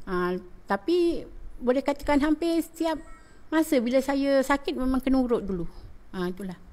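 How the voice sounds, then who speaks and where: At a moderate pace, a woman with a high pitch and a dark, mellow tone speaks with very wide pitch swings and long, frequent pauses. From Malaysia, Johor (Rengit). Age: 50s. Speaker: schoolteacher. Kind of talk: testimonial interview.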